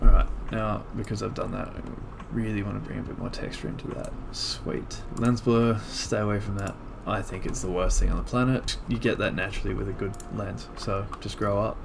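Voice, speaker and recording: The speaker talks quietly at a moderate pace. There is noticeable background noise and an audible room echo. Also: man. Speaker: photographer. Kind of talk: tutorial. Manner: casual.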